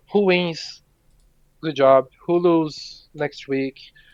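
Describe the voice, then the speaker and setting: A man speaks with a Portuguese accent. His pitch is fairly high and his intonation fairly even. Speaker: esports player. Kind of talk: post-game interview.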